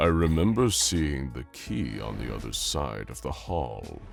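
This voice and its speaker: Over clear background noise, a man performs a cartoonish character voice. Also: fairly slow pace. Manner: commanding, cold.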